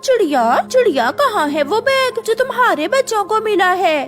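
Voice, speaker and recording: Clear music plays in the background. The speaker uses a cartoonish character voice. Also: female-sounding voice, extremely high pitch for a woman, moderate pace. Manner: pushy, sly.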